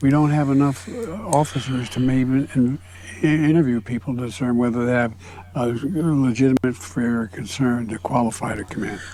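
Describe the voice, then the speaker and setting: A man mumbles in a put-on character voice at medium pitch, with ordinary pitch variation. His pace is moderate, and there is clear background noise. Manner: mumbling.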